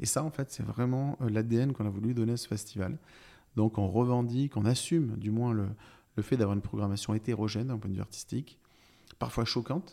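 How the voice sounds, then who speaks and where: A man speaks at a fairly quick pace in a plain, everyday voice. His pitch is medium, with ordinary pitch variation. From France, Brive-la-Gaillarde (Corrèze). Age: 40s. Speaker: festival director. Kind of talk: interview conversation. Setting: apartment in city centre.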